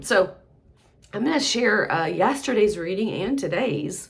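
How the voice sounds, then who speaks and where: With audible room echo around her, a woman's voice shows vocal fry and very wide pitch swings. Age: 60s. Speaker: mental health practitioner. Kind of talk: casual monologue. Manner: halting.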